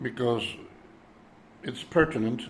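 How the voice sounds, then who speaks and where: A man's somewhat breathy voice at a very slow pace, with ordinary pitch variation. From Europe. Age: 70s. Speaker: vlogger. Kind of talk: personal monologue. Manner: hesitant, many fillers.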